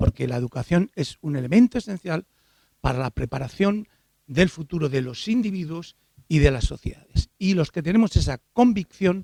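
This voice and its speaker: A man with a high voice speaks at a moderate pace, his pitch swinging very widely, in a dry, close recording with no echo. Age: 70s. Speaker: education expert, professor. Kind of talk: conference lecture.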